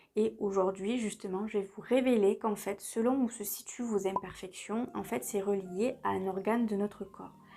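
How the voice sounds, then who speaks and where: At a moderate pace, a woman speaks with a dark, mellow tone. Her pitch is medium and her intonation fairly even. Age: 30s. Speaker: beauty and lifestyle vlogger. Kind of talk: casual tutorial vlog. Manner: chatty, conversational.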